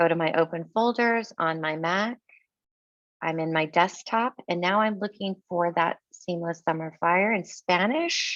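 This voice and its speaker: A woman with a fairly low pitch speaks at a fairly slow pace, her pitch varying in an ordinary way. The sound is dry and close with no echo, over a quiet background. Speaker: educational technology trainer. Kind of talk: tutorial. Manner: loud.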